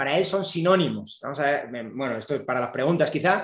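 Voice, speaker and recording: Audible room echo surrounds a man talking at a fairly quick pace with lively intonation. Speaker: economics professor. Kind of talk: lecture. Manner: fast.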